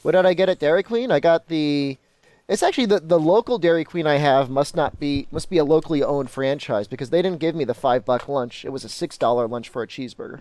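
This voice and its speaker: A man talks at a very fast pace with fairly high pitch and lively intonation, his voice dry and close with no echo on a very clean recording against a silent background. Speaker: video game streamer. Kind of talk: live stream commentary answering chat. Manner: casual, with fillers.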